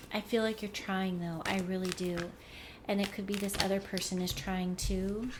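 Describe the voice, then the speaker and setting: A woman talks at a moderate pace in a monotone, flat intonation. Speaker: tarot card reader. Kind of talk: tarot reading. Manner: reflective, intuitive musing.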